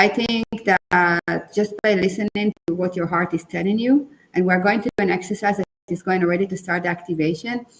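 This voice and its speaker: A woman with a non-native accent, fairly quick and fairly even in intonation, with a dry, close sound and no echo. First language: not English. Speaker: book coach. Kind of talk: webinar conversation.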